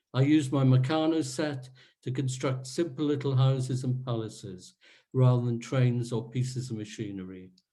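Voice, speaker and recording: At a moderate pace and medium pitch, a man speaks in a dark, mellow, somewhat breathy tone with fairly even intonation, and audible room echo surrounds his voice. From Wales, Rhondda valley. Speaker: author and historian. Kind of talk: reading aloud from own memoir. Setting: virtual online event.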